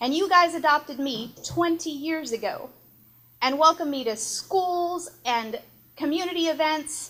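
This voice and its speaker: In a very clean recording with a silent background, a woman with an American accent speaks at a fairly slow pace, her high-pitched voice bright and sharp in tone with ordinary pitch variation. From East Texas. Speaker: former TV reporter, border patrol representative. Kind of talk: speech at a tribute event.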